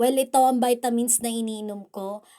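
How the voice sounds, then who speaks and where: On a very clean recording with a silent background, a woman speaks at a fairly high pitch and a moderate pace, her tone dark and mellow with ordinary pitch variation. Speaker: vlogger. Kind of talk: casual vlog narration. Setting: at home, bedroom with electric fan.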